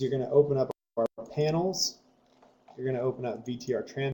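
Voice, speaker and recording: A man speaks at a medium pitch with a dark, mellow tone and a somewhat breathy quality. The sound is dry and close, with no echo. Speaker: software trainer. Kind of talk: tutorial.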